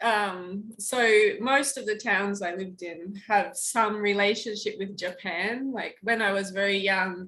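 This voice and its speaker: In a very clean recording over a silent background, a woman at medium pitch speaks fairly slowly with a bright, sharp tone and fairly even intonation. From Australia. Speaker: teacher. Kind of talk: casual chat. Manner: halting.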